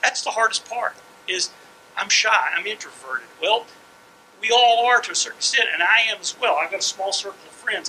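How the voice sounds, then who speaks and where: Speaking at a fairly quick pace, a man with a high voice swings widely in loudness over noticeable background noise. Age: 60s. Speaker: comic book writer. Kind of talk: panel talk to students. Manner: halting.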